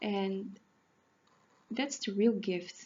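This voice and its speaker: A woman talks at a very slow pace. Her medium-pitched voice is somewhat breathy. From Netherlands. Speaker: animal communicator and healer. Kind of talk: casual talk to camera. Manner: halting, self-correcting.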